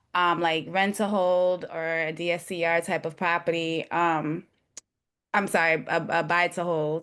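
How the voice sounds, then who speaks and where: A woman speaks with a New York accent against a quiet background. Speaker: realtor and new investor. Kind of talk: webinar question. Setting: video call.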